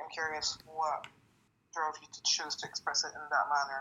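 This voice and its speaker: Her intonation monotone and flat, a woman speaks in a very deep, low voice with a French accent. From Lebanon. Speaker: poet. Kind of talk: casual interview.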